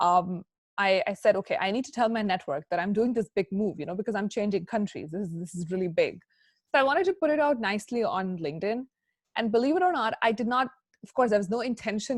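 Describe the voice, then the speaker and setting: A woman with an American accent talks very fast, with lively intonation. The recording is very clean, with a silent background and a dry, close sound with no echo. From India. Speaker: chartered accountant and career speaker. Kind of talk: guest lecture to students. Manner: conversational, with frequent fillers.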